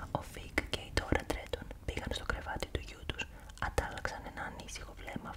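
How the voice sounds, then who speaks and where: The voice is whispering. Noticeable background noise can be heard. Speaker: ASMR creator. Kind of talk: ASMR horror novel reading. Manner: whispered.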